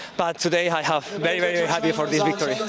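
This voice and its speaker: The speech has ordinary pitch variation, with noticeable background noise behind it. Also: man. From Spain. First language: Spanish. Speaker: athlete. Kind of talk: post-race interview. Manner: halting.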